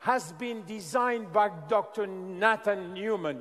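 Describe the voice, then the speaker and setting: Against noticeable background noise, a man with a French accent talks at a very slow pace in a high pitch. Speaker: scientist presenting a skincare product. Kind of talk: product presentation to an audience. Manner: halting.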